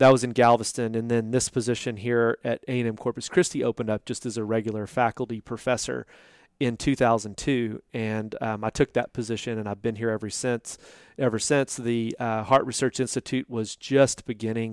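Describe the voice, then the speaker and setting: Medium-pitched man with a Texan accent in a monotone with flat intonation, dry, close sound with no echo, and a very clean recording with a silent background. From Texas (Boerne, near San Antonio). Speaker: fisheries scientist. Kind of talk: interview. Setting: research institute office.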